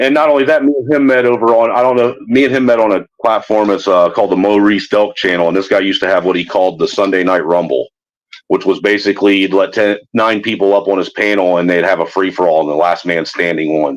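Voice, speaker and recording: Very fast and with hardly any pauses, a man talks at a fairly low pitch, keeping his loudness very even and his pitch variation ordinary. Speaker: livestream host. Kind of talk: casual chat. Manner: projects voice. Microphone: talking through a phone.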